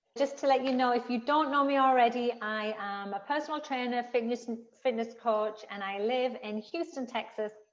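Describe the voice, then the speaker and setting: A woman speaks with a Teesside accent at a high pitch. Her pace is moderate and her pitch variation ordinary. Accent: Teesside accent, retained. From northern England, Billingham near Middlesbrough. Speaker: personal trainer and author. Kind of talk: interview.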